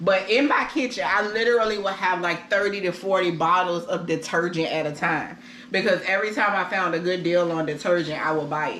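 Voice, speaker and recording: Someone talks at a fairly quick pace amid noticeable background noise and audible room echo. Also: woman, medium pitch for a woman, ordinary pitch variation, hardly any pauses. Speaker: vlogger. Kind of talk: casual chat. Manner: loud.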